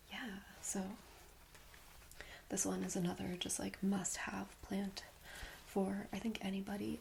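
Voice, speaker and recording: A woman speaks softly at a medium pitch and a fairly slow pace. Background noise is noticeable. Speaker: ASMR creator. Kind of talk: ASMR roleplay, friendly show-and-tell about plants. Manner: soft-spoken, friendly, rambling.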